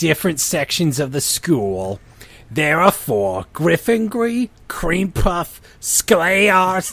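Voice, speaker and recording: Husky and raspy, this put-on character voice has a middle pitch and moves at a very slow pace. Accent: New Jersey. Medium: read story.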